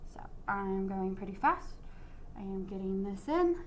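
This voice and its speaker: A woman's upbeat tone comes through with audible room echo. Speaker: art teacher. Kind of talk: tutorial. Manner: casual, upbeat.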